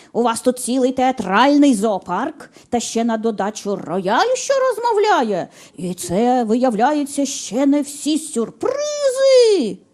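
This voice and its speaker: A woman uses a hoarse, high-pitched put-on character voice at a fairly slow pace. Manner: indignant, gruff.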